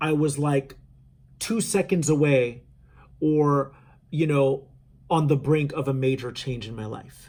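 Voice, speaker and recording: A man with a somewhat breathy, fairly high voice talks at a fairly slow pace with ordinary pitch variation. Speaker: spiritual channeler. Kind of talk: spiritual talk to viewers. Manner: casual, halting with fillers.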